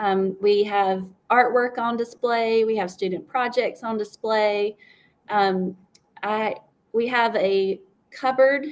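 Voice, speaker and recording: A woman with a South Carolina accent speaks at a fairly slow pace. Her pitch is fairly high and her intonation fairly even. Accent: Southern US (South Carolina). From upstate South Carolina. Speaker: school librarian. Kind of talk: interview. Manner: hesitant, many fillers.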